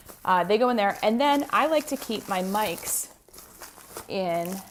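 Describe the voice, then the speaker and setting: A woman with a medium pitch sounds animated, her intonation lively, while background noise is noticeable. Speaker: podcast host and business coach. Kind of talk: tutorial.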